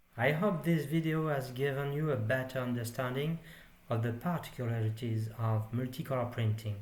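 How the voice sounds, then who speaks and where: Somewhat breathy, a man speaks at a moderate pace with very even loudness and ordinary pitch variation, with audible room echo. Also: medium pitch for a man. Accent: French. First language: French. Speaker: 3D printing hobbyist. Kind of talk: tutorial.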